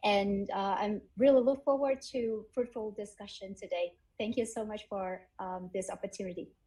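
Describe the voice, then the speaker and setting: A woman's somewhat breathy, dark, mellow voice in a Vietnamese accent, fairly high-pitched, at a moderate pace with hardly any pauses. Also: ordinary pitch variation. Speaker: edtech founder and graduate student. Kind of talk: panel discussion.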